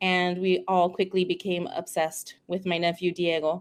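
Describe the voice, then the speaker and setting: A woman of medium pitch speaks at a moderate pace with monotone, flat intonation. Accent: Spanish. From California, King City (rural Central Coast). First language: Spanish. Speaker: speech-language pathologist. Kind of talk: casual interview chat.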